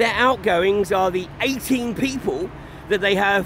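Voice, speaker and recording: With light background noise and a dry sound with no echo, a man talks at a fairly slow pace. His voice is high, with ordinary pitch variation. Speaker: activist livestreamer. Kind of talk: commentary. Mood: critical, indignant. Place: waterside. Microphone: phone near.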